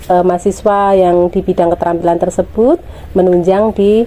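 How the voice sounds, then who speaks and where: A woman's medium-pitched voice moves at a moderate pace, her intonation fairly even. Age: 50s. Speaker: village women's group leader. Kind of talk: interview testimony. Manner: hesitant fillers.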